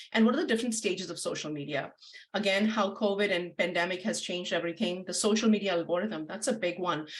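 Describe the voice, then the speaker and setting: A woman with an Indian accent at a very fast pace, against noticeable background noise. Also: medium pitch for a woman, ordinary pitch variation. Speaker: marketing agency founder and webinar presenter. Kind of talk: webinar presentation.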